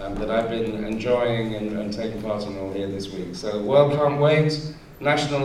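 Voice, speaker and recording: A man speaks at a moderate pace, his pitch varying in an ordinary way, while noticeable background noise and audible room echo surround him. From England, London. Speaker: activist. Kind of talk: public speech.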